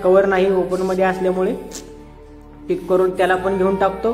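A man's high-pitched voice is heard with music in the background. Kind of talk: comedic gameplay commentary.

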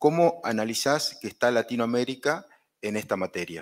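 In a quiet background, a man talks at a moderate pace and medium pitch in an unremarkable speaking voice. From Argentina. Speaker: journalism lecturer. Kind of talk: interview. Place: hall.

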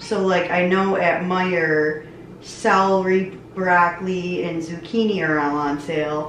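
The room echo is audible. Light noise sits in the background. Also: woman. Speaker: vlogger. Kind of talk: casual vlog chat. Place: kitchen. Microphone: camera far.

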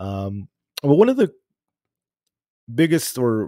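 Male voice with a dark, mellow tone and a dry sound with no echo. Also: quiet background. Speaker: podcast host. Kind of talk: casual livestream podcast intro. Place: home room. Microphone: studio mic.

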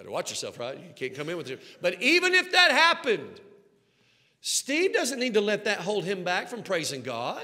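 Projecting a raised voice in a Southern US accent, a man speaks at a moderate pace with a high pitch, an animated tone, very wide pitch swings, and big swings in loudness. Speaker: pastor. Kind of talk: sermon. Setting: church sanctuary with congregation. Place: church. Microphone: headset.

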